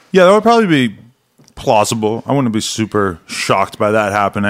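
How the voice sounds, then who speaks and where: A man with an unremarkable speaking voice talks at a fairly quick pace and a fairly low pitch. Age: 40s. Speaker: adult film creator and podcast host. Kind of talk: casual chat.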